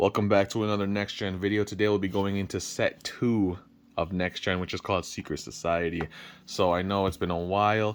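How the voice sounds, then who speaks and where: Recorded very cleanly against a silent background, a man speaks at a fairly quick pace in a fairly low pitch with fairly even intonation. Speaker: homemade card game creator reviewing cards. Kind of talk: casual video review. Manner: fast.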